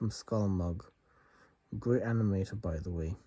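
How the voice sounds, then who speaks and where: This man has a fairly low pitch, a dark, mellow tone and fairly even intonation. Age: 30s. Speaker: vlogger. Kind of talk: personal confession.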